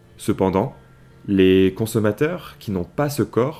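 A man's fairly low-pitched voice, dark and mellow in tone, with ordinary pitch variation at a fairly slow pace, in a very clean recording over a silent background. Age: 20s. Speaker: podcast host. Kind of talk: solo podcast monologue.

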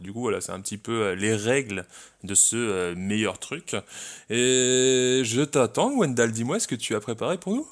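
A man speaks in a normal speaking voice at a medium pitch and a fairly slow pace, with ordinary pitch variation against a quiet background. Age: 20s. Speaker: podcast co-host. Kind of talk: casual chat.

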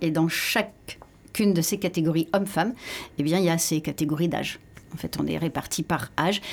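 Here is an ordinary speaking voice from a woman with a fairly low pitch. She keeps a moderate pace and ordinary pitch variation. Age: 50s. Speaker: pole dance athlete. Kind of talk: radio interview.

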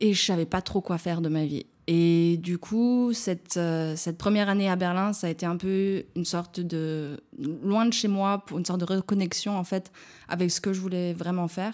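A woman with a fairly low pitch and fairly even intonation speaks at a moderate pace on a very clean recording with a silent background. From France, small village in the Ain. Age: 20s. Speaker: physiotherapist. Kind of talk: casual interview. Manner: halting, many fillers and repetitions.

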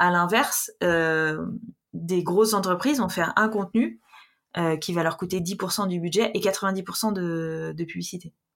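On a very clean recording with a silent background, a woman talks at a very slow pace and medium pitch. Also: ordinary pitch variation. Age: 30s. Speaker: freelance social media manager. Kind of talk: interview. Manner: hesitant, many fillers.

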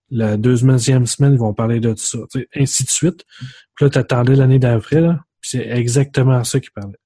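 A man's dark, mellow, somewhat breathy voice at medium pitch, with fairly even intonation, a moderate pace, big swings in loudness and a dry, close sound with no echo. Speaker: podcast host. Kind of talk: casual chat.

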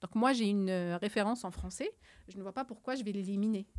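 A woman's dark, mellow tone at a moderate pace on a very clean recording with a silent background. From Algeria, Algiers. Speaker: climate scientist. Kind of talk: interview.

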